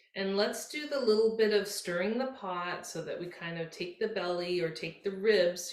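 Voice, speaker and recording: In a gentle tone and at a fairly slow pace, the voice shows ordinary pitch variation amid audible room echo. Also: woman. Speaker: yoga instructor. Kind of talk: guided yoga class instruction. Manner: slow, gentle.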